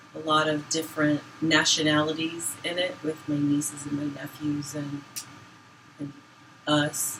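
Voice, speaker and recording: A woman with an American accent and a very deep, low pitch speaks at a fairly slow pace, with audible room echo and noticeable background noise. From Boston area, Massachusetts. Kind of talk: casual chat.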